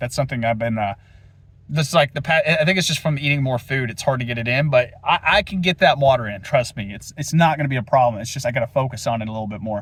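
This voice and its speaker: Speaking at a very fast pace, a man with a fairly high pitch sounds somewhat breathy, with ordinary pitch variation. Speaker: fitness vlogger. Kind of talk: casual vlog monologue. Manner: animated.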